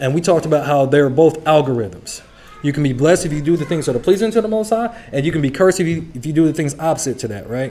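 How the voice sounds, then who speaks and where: The voice moves at a very fast pace with lively intonation. Noticeable background noise runs underneath. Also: man, fairly high pitch for a man. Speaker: Bible study teacher. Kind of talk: sermon.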